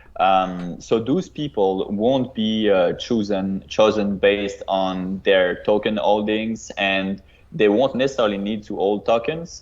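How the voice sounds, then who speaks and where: Speaking with a non-native accent, a man talks at a fairly slow pace with hardly any pauses, his fairly low voice showing ordinary pitch variation. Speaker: crypto project co-founder. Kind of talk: podcast interview. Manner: halting, many fillers and repetitions.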